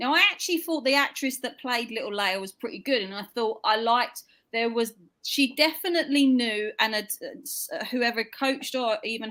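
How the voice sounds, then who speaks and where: Fairly high-pitched woman in a British accent, bright and sharp in tone, moderate pace, on a very clean recording with a silent background. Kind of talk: casual chat.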